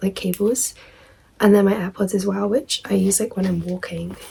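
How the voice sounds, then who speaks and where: A woman's dark, mellow voice, slightly breathy, sits at a medium pitch. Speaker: student vlogger. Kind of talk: casual show-and-tell vlog. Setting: at home.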